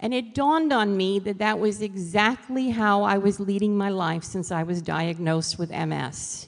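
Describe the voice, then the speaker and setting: A woman in a New York accent talks at a moderate pace with hardly any pauses. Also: medium pitch for a woman, ordinary pitch variation. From New York City. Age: 60s. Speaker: author and motivational speaker. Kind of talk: motivational talk.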